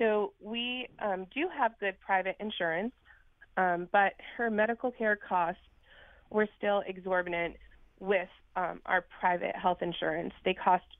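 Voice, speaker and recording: A woman speaks at a medium pitch in an unremarkable speaking voice. Her pace is fairly slow and her intonation fairly even. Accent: American. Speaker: caller. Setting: phone call.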